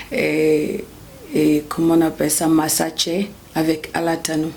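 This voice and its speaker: A woman with a Burkinabe accent speaks at a very deep, low pitch, with audible room echo and noticeable background noise. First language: Bobo (speaking French). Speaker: gospel singer. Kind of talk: interview. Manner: halting.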